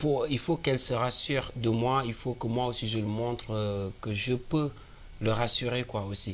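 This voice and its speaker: A man at medium pitch with an African accent, fairly even intonation and a fairly slow pace. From Senegal. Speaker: singer-songwriter. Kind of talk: interview.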